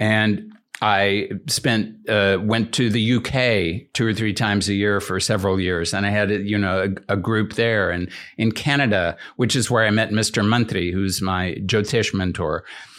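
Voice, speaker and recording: A man with an American accent speaks at a fairly slow pace in a fairly low pitch with fairly even intonation. His loudness stays very even, and the recording is very clean with a silent background. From US. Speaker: Ayurveda teacher and author. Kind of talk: casual chat. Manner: halting.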